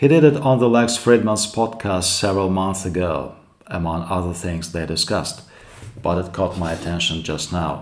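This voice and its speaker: A man's very deep, low voice in a Russian accent, at a moderate pace with ordinary pitch variation and audible room echo. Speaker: YouTube commentator. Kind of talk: commentary monologue.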